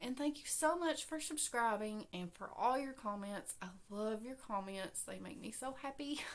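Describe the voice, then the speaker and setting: At a moderate pace and with hardly any pauses, a woman talks at a fairly high pitch, her intonation lively and her loudness swinging widely. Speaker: crochet podcaster. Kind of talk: casual chat. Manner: trying to talk louder. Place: home room. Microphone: webcam.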